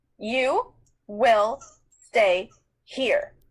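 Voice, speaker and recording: This put-on character voice sounds female and carries a menacing tone. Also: high pitch for a woman. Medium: read story. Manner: cold, clipped, menacing.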